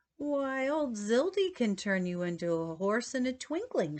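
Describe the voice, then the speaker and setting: In a put-on character voice, a woman sounds shrill and high-pitched. Her pitch swings very widely at a moderate pace. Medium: read story. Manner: gleeful, excitable.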